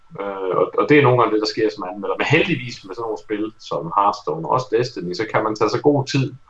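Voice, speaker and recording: A man at a fairly quick pace with hardly any pauses, over noticeable background noise. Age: 30s. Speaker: game reviewer. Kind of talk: casual chat.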